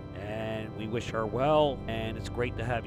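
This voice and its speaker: Music plays behind a man who speaks at a medium pitch. His intonation is fairly even. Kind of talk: political commentary to camera.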